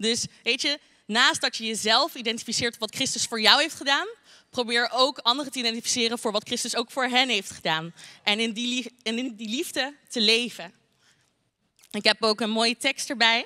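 Over a quiet background, a woman with a fairly high pitch and a bright, sharp tone speaks at a moderate pace with ordinary pitch variation. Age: 20s. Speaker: youth church speaker; speaker. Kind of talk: short sermon. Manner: talkative, many filler words. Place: hall. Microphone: handheld.

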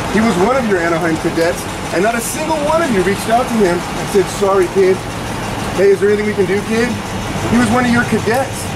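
The pace is fairly quick. Loud background noise fills the recording. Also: man. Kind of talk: angry confrontational rant. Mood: angry, contemptuous. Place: street. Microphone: phone near.

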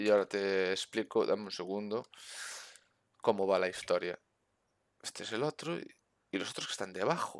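In a quiet background with a dry sound and no echo, a man speaks at a moderate pace in a fairly low pitch, using ordinary pitch variation and long, frequent pauses. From Spain. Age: 30s. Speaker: gaming streamer. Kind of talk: casual chat. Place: home room. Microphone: headset.

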